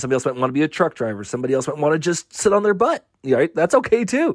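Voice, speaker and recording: A man with an American accent at a very fast pace, the sound dry and close with no echo. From Southern California. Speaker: army veteran. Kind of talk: interview.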